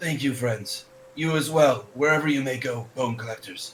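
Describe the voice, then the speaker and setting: This man uses a put-on character voice with a raspy edge. He speaks at a moderate pace. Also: medium pitch for a man. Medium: actual play.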